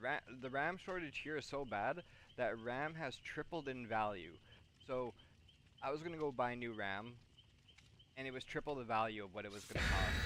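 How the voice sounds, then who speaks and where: This man's bright, sharp tone comes at a moderate pace with ordinary pitch variation. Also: medium pitch for a man. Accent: Canadian. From Canada. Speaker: gaming streamer. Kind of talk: casual live-stream chat. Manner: rambling with false starts and repeats.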